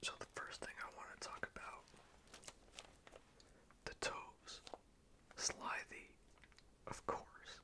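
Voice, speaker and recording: Long, frequent pauses break up the whispering, which moves at a very slow pace. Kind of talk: ASMR whispered poetry reading and commentary. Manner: whispered, soft, slow; tongue-in-cheek, sarcastic.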